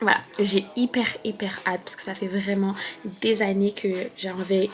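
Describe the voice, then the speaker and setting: Against noticeable background noise, a woman speaks at medium pitch and a fairly slow pace. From France. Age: 20s. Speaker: beauty and lifestyle vlogger. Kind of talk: casual vlog talk to camera. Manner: hesitant, many fillers.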